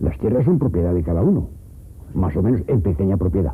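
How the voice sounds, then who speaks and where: A man speaks at a very fast pace. His voice is very deep and low. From Teruel, Aragon, Spain. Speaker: rural villager. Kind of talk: interview answer.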